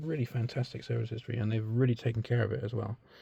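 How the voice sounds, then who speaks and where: Somewhat breathy and dark, mellow in tone, a man's medium-pitched voice stays monotone with flat intonation. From Britain. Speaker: car enthusiast video maker. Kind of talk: casual walkthrough tutorial. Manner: halting, many fillers.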